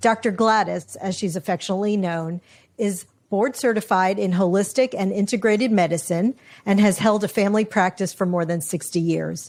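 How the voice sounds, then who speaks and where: This very clean recording with a silent background has a woman in a normal speaking voice at medium pitch, talking at a fairly quick pace with ordinary pitch variation. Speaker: podcast host. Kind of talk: podcast intro.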